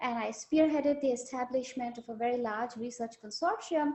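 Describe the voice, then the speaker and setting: Moderate pace with ordinary pitch variation. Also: woman. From India. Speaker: neuropharmacology professor, panelist. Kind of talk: online panel discussion.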